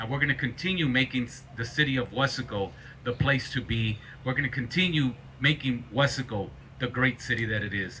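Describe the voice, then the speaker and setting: Here a man speaks with an American accent at medium pitch. His pace is fairly quick, with ordinary pitch variation. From South Texas, Rio Grande Valley. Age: 40s. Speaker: mayor. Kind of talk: public speech at a ceremony. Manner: halting, many repetitions.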